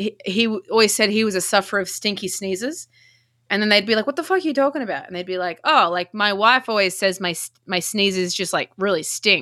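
Bright and sharp in tone, a woman's medium-pitched voice moves at a fairly quick pace. The recording is very clean, with a silent background. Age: 30s. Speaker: podcast guest. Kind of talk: casual chat.

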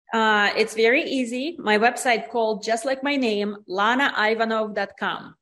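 A woman speaks at a fairly slow pace with hardly any pauses, her fairly high pitch carried on fairly even intonation. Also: very clean recording, silent background. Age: 40s. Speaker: spa business owner and author. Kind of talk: interview.

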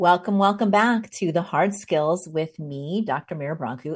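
A woman speaks at a moderate pace in an ordinary speaking voice, fairly low in pitch, against a quiet background. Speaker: podcast host and leadership coach. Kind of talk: podcast interview. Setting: video call recording. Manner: warm, upbeat.

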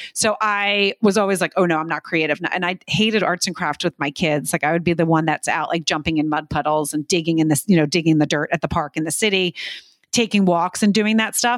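A dry, close recording with no echo, a fairly quick pace and ordinary pitch variation. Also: woman, fairly low pitch for a woman. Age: 40s. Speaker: podcaster. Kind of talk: casual chat. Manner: animated.

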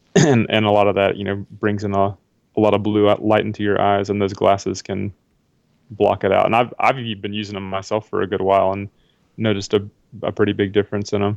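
A man with an American accent talks at a fairly quick pace. His fairly low voice is monotone, with flat intonation. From US South, South Carolina. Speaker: personal trainer and wellness coach. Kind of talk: interview.

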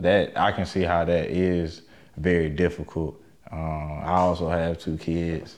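Fairly slow delivery with monotone, flat intonation. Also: man, very deep, low pitch for a man. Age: 30s. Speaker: podcast host. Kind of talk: casual interview.

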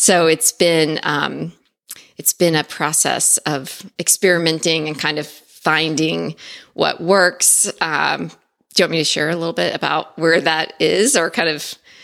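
Speaking at a fairly slow pace, a woman uses a very deep, low pitch with vocal fry and fairly even intonation. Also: very clean recording, silent background. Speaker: productivity consultant. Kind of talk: casual chat.

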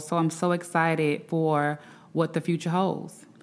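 A woman with a Southern US accent, fairly low pitch, a moderate pace and fairly even intonation. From Alabama, Birmingham. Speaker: attorney. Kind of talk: interview. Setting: remote from Washington, D C.

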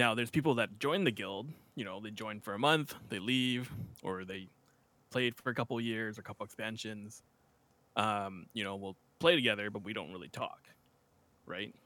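With a Canadian accent, a man speaks at a moderate pace and a fairly low pitch, with a bright, sharp tone and ordinary pitch variation. His loudness swings widely, and he takes long, frequent pauses. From western Canada. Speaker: streamer and podcast co-host. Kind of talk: casual chat. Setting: video call.

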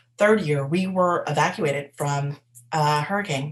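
A woman with a very deep, low voice speaks fairly slowly and sounds somewhat breathy. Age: 20s. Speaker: podcast host and life coach. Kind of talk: casual personal monologue. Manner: hesitant, with filler words.

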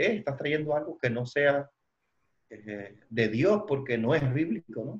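Somewhat breathy and fairly high in pitch, a man speaks at a very slow pace with lively intonation. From Cuba. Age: 40s. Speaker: church leader and trainer. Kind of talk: interview. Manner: halting, many fillers.

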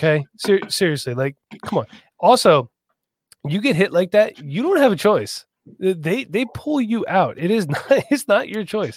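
A man with an American accent and high pitch, very wide pitch swings, a moderate pace, long, frequent pauses, and a dry, close sound with no echo. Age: 30s. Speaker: sports podcast host. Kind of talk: casual chat. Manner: animated.

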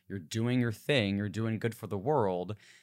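A man's normal speaking voice, fairly low in pitch, with ordinary pitch variation and an American accent. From New Jersey, US. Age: 20s. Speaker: podcast host. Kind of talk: interview. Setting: video call.

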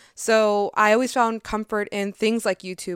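On a very clean recording with a silent background and a dry, close sound with no echo, a woman speaks at a medium pitch and a moderate pace. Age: 20s. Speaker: podcaster. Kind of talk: casual monologue. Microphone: new microphone.

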